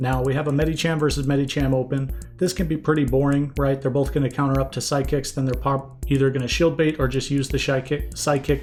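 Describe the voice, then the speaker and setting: Over background music, a man with a fairly high pitch talks very fast in a flat monotone. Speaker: Pokémon Go PvP shoutcaster. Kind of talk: esports-style match commentary, game analysis.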